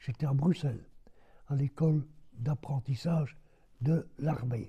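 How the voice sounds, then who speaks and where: This man has a dark, mellow tone and a somewhat breathy sound. He speaks very slowly at a fairly high pitch. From Belgium. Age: 80s+. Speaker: war veteran. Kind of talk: interview answer.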